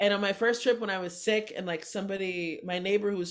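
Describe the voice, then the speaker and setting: A woman talks very fast at a medium pitch. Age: 40s. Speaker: comedian. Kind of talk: casual chat. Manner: animated.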